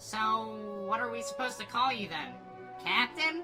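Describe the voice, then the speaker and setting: Over clear background music, a female-sounding voice performs a put-on character voice at a moderate pace. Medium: fan dub.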